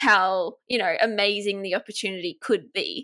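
Bright and sharp in tone, a woman with an Australian accent speaks at medium pitch and a moderate pace. The recording is very clean, with a silent background. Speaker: business coach and agency owner. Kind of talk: casual interview chat.

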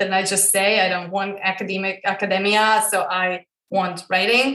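This woman speaks with a Croatian accent in a bright, sharp tone. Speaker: female empowerment coach. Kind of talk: interview.

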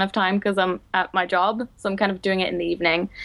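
This is a woman speaking. She has a Dutch accent. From Netherlands. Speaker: book video blogger and publishing digital coordinator. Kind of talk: casual chat.

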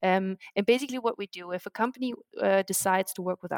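In a German accent, a woman speaks at medium pitch with fairly even intonation. The sound is dry and close, with no echo. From Germany. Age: 30s. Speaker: startup co-founder. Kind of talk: podcast interview.

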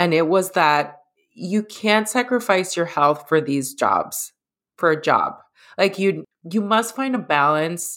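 An American-accented woman at medium pitch, with lively intonation, a fairly slow pace and very even loudness, an ordinary speaking voice, on a very clean recording with a silent background. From US Northeast, the Bronx, New York. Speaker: health coach. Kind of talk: interview conversation.

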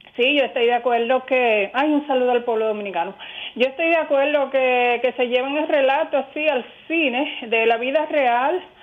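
A woman's high-pitched voice at a moderate pace, with ordinary pitch variation and very even loudness. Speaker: radio caller. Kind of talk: phone-in comment. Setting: phone call.

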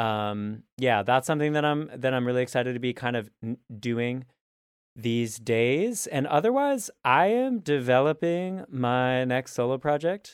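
A man's unremarkable speaking voice at a medium pitch, fairly slow, with ordinary pitch variation. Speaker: singer-songwriter, trumpeter and vocal teacher. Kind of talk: casual podcast conversation. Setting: video call. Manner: warm, friendly.

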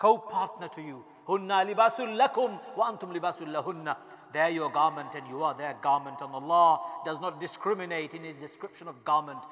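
Over noticeable background noise, a man with a fairly high pitch and lively intonation swings widely in loudness. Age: 40s. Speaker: imam. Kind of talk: sermon. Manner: animated.

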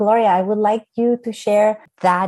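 A woman talks with a Spanish accent at a fairly slow pace. Her intonation is fairly even. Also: quiet background. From Colombia. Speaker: architect. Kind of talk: panel discussion.

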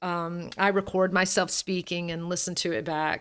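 A woman's medium-pitched voice with a Southern US accent. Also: very clean recording, silent background. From US South, Alabama. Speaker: voice coach and singer. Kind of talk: interview conversation. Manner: draws out words.

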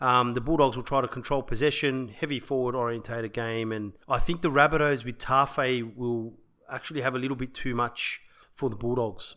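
On a very clean recording with a silent background, a man with an Australian accent talks fairly quickly at a medium pitch, his tone bright and sharp and his intonation fairly even. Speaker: rugby league podcast co-host. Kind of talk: casual sports chat. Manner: laughs often.

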